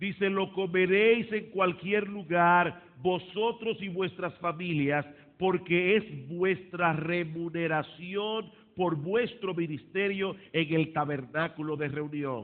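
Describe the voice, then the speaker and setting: A man speaks at a very slow pace. His pitch is high, with ordinary variation. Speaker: pastor. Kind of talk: sermon.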